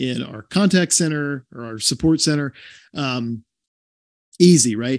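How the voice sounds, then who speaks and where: A man's normal speaking voice with an American accent, fairly high pitch and ordinary pitch variation, at a fairly slow pace with big swings in loudness, in a dry sound with no echo over a quiet background. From American South. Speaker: podcast guest, chief customer officer. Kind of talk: interview answer. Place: home room. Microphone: video call.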